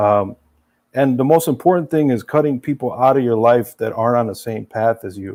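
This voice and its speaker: The recording is very clean, with a silent background behind a dark, mellow tone. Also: man. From Serbia-born, raised in US from age three. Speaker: former gambler sharing recovery story. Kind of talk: casual interview. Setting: studio.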